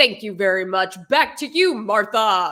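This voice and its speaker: A woman's put-on character voice at medium pitch, in a very clean recording with a silent background. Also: moderate pace. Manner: stilted, mock-professional.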